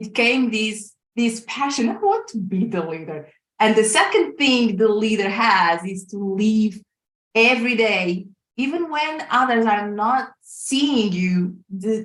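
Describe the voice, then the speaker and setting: A woman's fairly high voice with a Portuguese accent, ordinary pitch variation and a very slow pace. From Portugal. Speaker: life coach and corporate leader. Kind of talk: casual interview chat. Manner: halting, many fillers.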